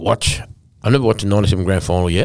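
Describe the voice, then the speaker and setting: With an Australian accent, a man speaks fairly quickly at a fairly low pitch with ordinary variation. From north-western New South Wales, Australia. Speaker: former rugby league player. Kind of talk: casual interview.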